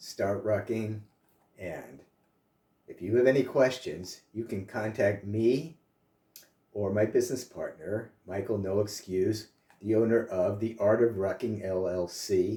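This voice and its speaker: A dark, mellow, somewhat breathy voice speaks at a fairly slow pace with fairly even intonation. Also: man, fairly low pitch for a man. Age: 60s. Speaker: health and fitness vlogger, author. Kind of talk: casual vlog talk to camera. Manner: casual, with frequent filler uh.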